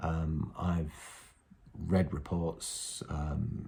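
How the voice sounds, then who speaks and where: Somewhat breathy and dark, mellow in tone, a man speaks with a very deep, low pitch at a very slow pace. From North West England. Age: 40s. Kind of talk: casual talk to camera. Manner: hesitant, conversational.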